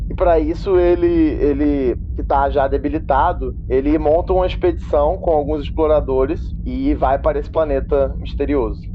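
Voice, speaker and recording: A man speaking with hardly any pauses, music in the background. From Minas Gerais, Brazil. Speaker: podcast co-host. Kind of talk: casual chat.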